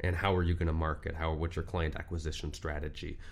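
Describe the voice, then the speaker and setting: A man with a very deep, low pitch and an American accent speaks in a monotone, flat way. His voice is somewhat breathy, with audible room echo. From Southern California, Orange County. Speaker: lawyer. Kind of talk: casual interview. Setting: studio.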